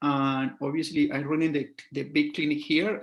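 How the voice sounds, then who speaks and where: The speaker talks at a fairly slow pace with a Colombian accent. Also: man. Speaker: scalp micropigmentation artist. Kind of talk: casual interview.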